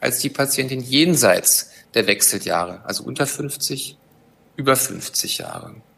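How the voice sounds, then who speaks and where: At a fairly slow pace, a man speaks at medium pitch with a bright, sharp tone, vocal fry and ordinary pitch variation. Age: 50s. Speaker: gynecologist and chief physician. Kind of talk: expert interview.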